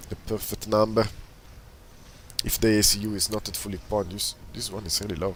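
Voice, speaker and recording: A man speaks at a fairly quick pace in a fairly low voice, flat and monotone, with long, frequent pauses and noticeable background noise. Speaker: video game commentator. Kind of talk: live commentary.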